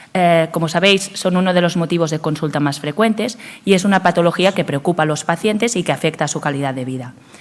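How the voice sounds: With few pauses, a woman speaks at a fast pace in a fairly low voice with ordinary pitch variation.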